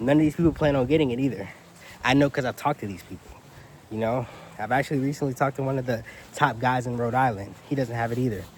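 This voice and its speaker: This man talks at a very fast pace with a medium-pitched voice. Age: 20s. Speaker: commercial real estate agent and YouTuber. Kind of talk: casual talk-to-camera vlog. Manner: animated.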